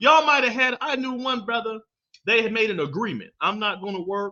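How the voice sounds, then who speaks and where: A man with a high pitch uses a raised, projected voice at a moderate pace. His tone is animated, bright and sharp. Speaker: podcast host. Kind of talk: casual monologue podcast. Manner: loud.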